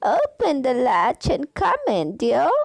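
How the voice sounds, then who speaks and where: Putting on a character voice, a woman talks in a high pitch at a fairly slow pace. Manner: sweet, feigned.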